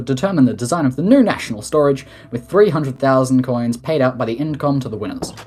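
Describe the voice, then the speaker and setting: Through noticeable background noise, a man talks at a very fast pace with a medium pitch and lively intonation. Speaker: head of state in a game roleplay community. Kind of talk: formal address reading a report.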